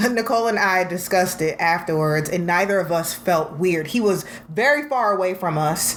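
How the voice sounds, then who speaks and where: A woman's medium-pitched, animated delivery at a moderate pace, with hardly any pauses, very even loudness and ordinary pitch variation, amid noticeable background noise and audible room echo. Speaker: podcast co-host. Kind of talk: casual chat.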